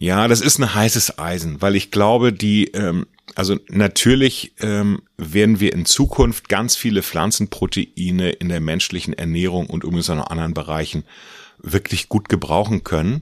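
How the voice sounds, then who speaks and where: At a moderate pace, an unremarkable speaking voice shows ordinary pitch variation, the sound dry and close with no echo. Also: man, fairly low pitch for a man. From Mecklenburg, northern Germany. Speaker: farmer and agricultural association president. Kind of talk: interview. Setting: office.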